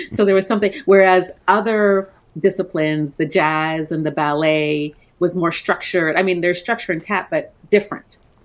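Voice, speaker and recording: Here is a woman with a plain, everyday voice and a fairly low pitch. She keeps a moderate pace with ordinary pitch variation. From Canada, born in Trinidad. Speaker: coaching business owner. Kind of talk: interview.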